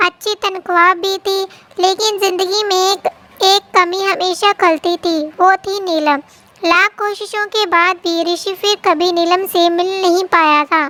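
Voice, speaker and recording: The pace is fairly slow. Intonation stays fairly even. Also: woman, extremely high pitch for a woman. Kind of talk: bedtime story. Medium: read story. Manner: gentle, emotional.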